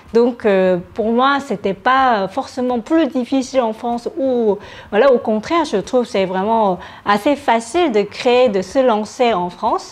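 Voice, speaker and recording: A woman with a Korean accent speaks at a fairly slow pace. Her high-pitched voice has lively intonation. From South Korea. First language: Korean (speaking French). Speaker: startup founder. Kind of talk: interview. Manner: hesitant, many fillers.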